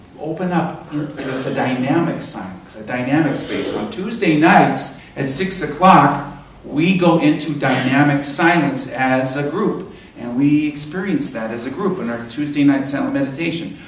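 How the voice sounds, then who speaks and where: A man's fairly high voice at a moderate pace, ordinary pitch variation, big swings in loudness, audible room echo and noticeable background noise. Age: 60s. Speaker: minister. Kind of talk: sermon. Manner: conversational, halting.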